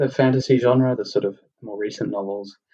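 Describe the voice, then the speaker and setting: With an Australian accent, a man speaks at a moderate pace with fairly even intonation. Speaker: podcast host. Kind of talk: casual chat. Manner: halting, many fillers and repetitions.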